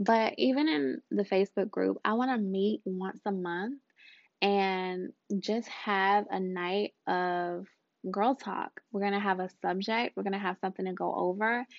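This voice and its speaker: This woman has an unremarkable speaking voice, medium in pitch, with ordinary pitch variation. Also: fairly slow pace. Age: 30s. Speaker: podcast host and life coach. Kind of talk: casual monologue. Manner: warm, conversational with fillers.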